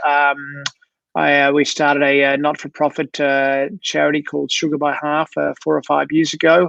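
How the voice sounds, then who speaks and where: A man with an Australian accent at a moderate pace, in a dry, close sound with no echo. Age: 60s. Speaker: sports doctor. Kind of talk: interview. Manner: halting, many fillers.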